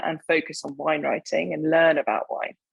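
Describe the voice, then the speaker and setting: A woman with an English accent talks at a moderate pace with a fairly low pitch. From southern England, Hampshire. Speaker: wine writer. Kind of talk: interview.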